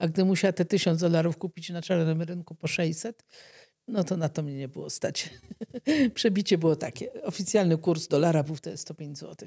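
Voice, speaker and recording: A woman speaks at a moderate pace in a dark, mellow tone with a fairly low pitch and ordinary pitch variation. Her loudness swings widely over a quiet background. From Poland. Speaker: doctor treating leprosy patients; guest. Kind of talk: interview testimony. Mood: calm, reflective. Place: studio. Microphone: studio mic.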